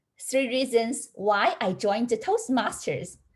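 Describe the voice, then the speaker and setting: A woman speaks at a fairly slow pace with a fairly high pitch. Her voice is somewhat breathy. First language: not English. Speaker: college counselor. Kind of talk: prepared speech. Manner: halting.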